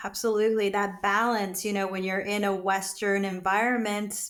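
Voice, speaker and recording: An American accent from a female speaker at a medium pitch. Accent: sounds native-born American. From USA, immigrated in early childhood. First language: not English. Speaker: skincare business founder. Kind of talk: casual interview.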